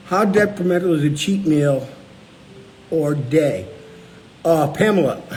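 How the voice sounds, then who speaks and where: Speaking at a fairly slow pace with long, frequent pauses, a man uses a fairly high pitch and lively intonation, with audible room echo and noticeable background noise. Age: 60s. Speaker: low-carb cookbook author and show host. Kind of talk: casual live chat answering viewer questions.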